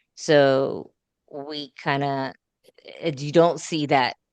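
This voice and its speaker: The sound is dry and close with no echo, and the background is quiet. A woman speaks in a very deep, low pitch with fairly even intonation. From Puerto Rico. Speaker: school board candidate. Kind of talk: candidate interview.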